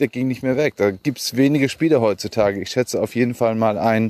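Dry and close with no echo, the voice moves at a moderate pace with ordinary pitch variation. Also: man. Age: 40s. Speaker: podcaster. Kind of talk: solo monologue. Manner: halting.

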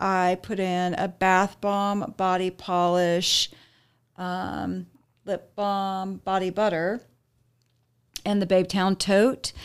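Speaking very slowly in an American accent, a woman keeps a medium pitch and a monotone, flat intonation on a very clean recording with a silent background. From Arizona. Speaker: business owner. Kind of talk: casual interview.

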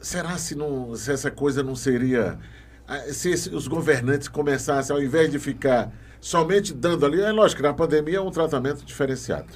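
Fairly high-pitched male speech, a plain, everyday voice moving at a moderate pace and showing ordinary pitch variation. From Maranhão, Brazil. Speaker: podcast host. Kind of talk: interview.

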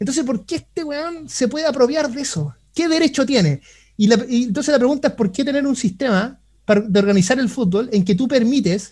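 A man speaks in an extremely high voice with a Chilean accent. His intonation is lively and his pace fairly quick. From Chile (Concepción). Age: 30s. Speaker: economist. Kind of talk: interview.

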